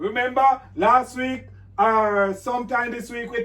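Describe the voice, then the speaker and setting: A man speaks at an extremely high pitch for a man. His delivery is fairly slow, with monotone, flat intonation. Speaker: pastor. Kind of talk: bible class. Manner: loud.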